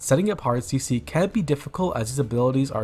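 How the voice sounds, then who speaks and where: Over music in the background, a man speaks fairly quickly at a medium pitch with ordinary pitch variation. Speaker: gaming content creator. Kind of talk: game build guide narration. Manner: upbeat, casual.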